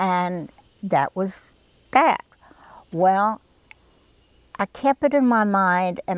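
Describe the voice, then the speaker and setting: A woman with a Southern US accent speaks at a medium pitch, with a dry, close sound with no echo on a very clean recording with a silent background. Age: 70s. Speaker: garden club volunteer. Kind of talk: interview. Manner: hesitant, with frequent fillers.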